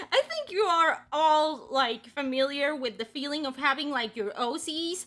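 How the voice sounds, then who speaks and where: Her voice is raised and projected. This woman has a bright, sharp tone. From Mexico. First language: Spanish. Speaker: webcomic artist and streamer. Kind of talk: casual livestream chat. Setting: livestream. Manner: rambling with many fillers.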